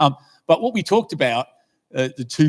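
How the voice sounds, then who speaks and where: A man speaks with an Australian accent. He talks at a moderate pace. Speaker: lay preacher. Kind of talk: sermon. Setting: church. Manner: halting.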